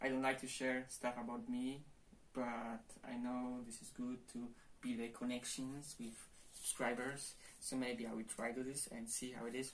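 Monotone, flat intonation in a Polish accent at a moderate pace, over light background noise. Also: man, medium pitch for a man. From Poland. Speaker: martial arts youtuber. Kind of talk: casual vlog. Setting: at home, to camera. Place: home room. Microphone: camera far.

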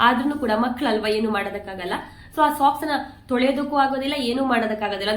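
Amid noticeable background noise and audible room echo, a woman speaks with a fairly high pitch. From Kundapura, coastal Karnataka, India. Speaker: vlogger and mother. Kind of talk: casual vlog narration.

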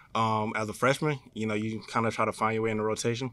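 With a bright, sharp tone and a medium pitch, a man speaks at a very fast pace on a dry recording with no echo and a quiet background. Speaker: college basketball player. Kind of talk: press conference. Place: meeting room. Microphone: podium.

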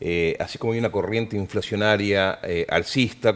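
A man speaks in a normal speaking voice. His pitch is fairly low and his intonation fairly even. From Argentina. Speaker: TV news anchor. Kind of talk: news interview. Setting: TV studio. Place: studio. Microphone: headset.

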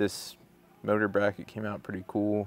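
A plain, everyday voice from a man, fairly low in pitch, at a moderate pace, in a dry sound with no echo. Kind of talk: casual vlog chat. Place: workshop. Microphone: lapel.

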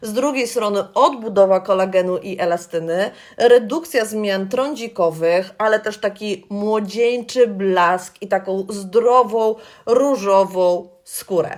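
Over a silent background in a very clean recording, a woman speaks at a very slow pace, her pitch medium with ordinary variation. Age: 40s. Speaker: beauty consultant. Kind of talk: tutorial. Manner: friendly, conversational.

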